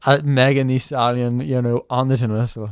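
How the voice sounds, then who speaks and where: In a Northern Irish accent, a man speaks at medium pitch with fairly even intonation, the sound dry and close with no echo and the recording very clean over a silent background. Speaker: tin whistle player and online creator. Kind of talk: podcast interview.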